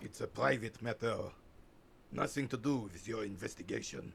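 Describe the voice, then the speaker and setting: A gruff, put-on character voice from a man at medium pitch, moderate pace, ordinary pitch variation, big swings in loudness, and clear background noise. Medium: video game. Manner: gruff, irritable.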